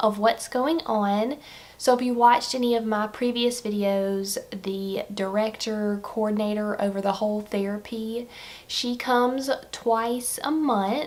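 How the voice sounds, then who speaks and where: A woman with a fairly high pitch speaks in a Southern US accent. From Alabama. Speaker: stay-at-home mother. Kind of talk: casual vlog talk to camera.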